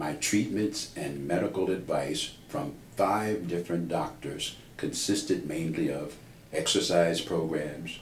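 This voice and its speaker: Somewhat breathy and very slow, the voice carries audible room echo. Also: man. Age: 70s. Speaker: patient. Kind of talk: testimony. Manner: formal.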